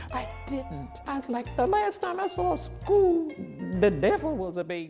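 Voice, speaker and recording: Music plays in the background as a woman with an American accent speaks at a moderate pace. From Virginia, Prince Edward County. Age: 70s. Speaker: college student. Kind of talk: interview.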